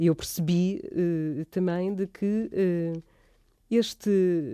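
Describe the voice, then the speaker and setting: A woman's medium-pitched, dark and mellow voice with fairly even intonation comes through in a dry, close sound with no echo on a very clean recording with a silent background. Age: 50s. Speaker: visual artist. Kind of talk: casual interview. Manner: halting.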